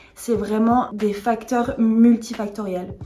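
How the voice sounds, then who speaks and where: A woman speaks in a dark, mellow tone. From France, born in England. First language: English (speaking French). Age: 20s. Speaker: vlogger sharing eating disorder recovery story. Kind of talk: personal testimony vlog.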